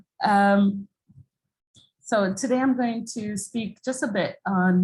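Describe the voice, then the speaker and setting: A woman talks with an American accent. Her voice is somewhat breathy, with ordinary pitch variation. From Jamaica. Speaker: international development expert. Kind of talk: presentation. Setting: video call.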